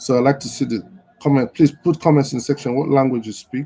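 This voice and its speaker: A man's dark, mellow tone with a Nigerian accent, in a dry, close sound with no echo. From northern Nigeria (Kaduna). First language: Igbo. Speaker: live show host. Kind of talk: casual livestream talk. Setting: social media livestream.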